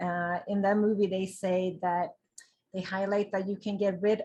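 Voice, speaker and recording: Set against a quiet background, a woman's medium-pitched voice comes through somewhat breathy. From Sweden. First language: Swedish. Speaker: vegan lifestyle blogger. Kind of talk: interview. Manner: animated.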